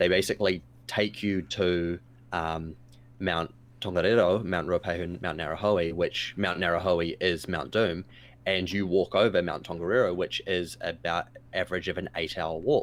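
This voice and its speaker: Set against a silent background in a very clean recording, a man's very deep, low voice moves at a moderate pace. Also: fairly even intonation. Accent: New Zealand. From New Zealand, Taupo. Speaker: streamer guest on a gaming talk show. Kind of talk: casual chat.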